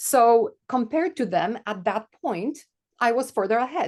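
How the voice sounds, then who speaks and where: Against a quiet background, a woman with a Polish accent speaks at a fairly high pitch with lively intonation. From Poland. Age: 40s. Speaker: podcast co-host. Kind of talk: casual chat.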